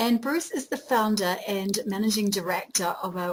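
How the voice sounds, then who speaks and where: A medium-pitched woman at a moderate pace, with ordinary pitch variation and noticeable background noise. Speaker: interviewer, business coach. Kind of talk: interview host talk.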